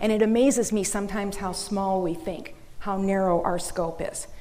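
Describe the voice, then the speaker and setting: A woman speaks with an American accent. Noticeable background noise and audible room echo surround her voice. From Minnesota, US Midwest. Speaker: business owner and seminar speaker. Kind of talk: seminar talk. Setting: conference room with audience.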